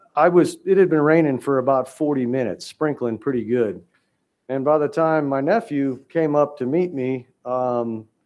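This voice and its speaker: Pitch varies in an ordinary way while the talking proceeds at a moderate speed. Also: man, fairly high pitch for a man. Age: 60s. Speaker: hunter appealing to a wildlife commission. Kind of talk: testimony at a public hearing. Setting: public hearing room. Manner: halting, many fillers.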